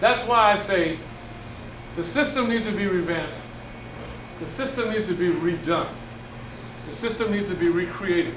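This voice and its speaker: A man with a high pitch speaks loudly at a moderate pace with ordinary pitch variation and long, frequent pauses, amid noticeable background noise and audible room echo. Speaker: musician and community speaker. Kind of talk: presentation to seniors. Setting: room with senior audience. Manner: loud, projecting.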